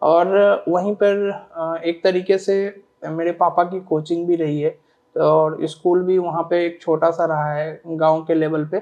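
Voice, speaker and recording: A man speaks at a high pitch with monotone, flat intonation. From Bihar, Sitamarhi district village. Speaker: civil service exam topper. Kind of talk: interview. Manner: hesitant, many fillers; polite, formal.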